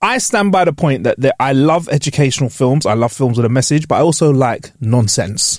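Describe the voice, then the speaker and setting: A man with a London accent talks at a fairly quick pace with hardly any pauses. His intonation is lively while his loudness stays very even. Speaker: podcast host. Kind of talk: casual chat. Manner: animated.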